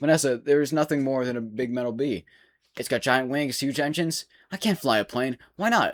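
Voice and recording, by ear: The background is quiet while someone does reading aloud in a natural voice.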